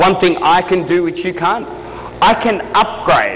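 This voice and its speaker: A man speaks in an animated tone with an Australian accent. There is noticeable background noise and audible room echo. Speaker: motivational speaker. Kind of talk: keynote speech. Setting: stage with audience. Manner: fast.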